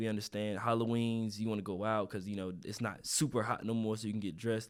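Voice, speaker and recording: On a very clean recording with a silent background, a man with a North Carolina accent talks very fast at a fairly low pitch in monotone, flat intonation. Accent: Southern US, North Carolina. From eastern North Carolina. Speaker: content creator and hair care business owner. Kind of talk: casual interview.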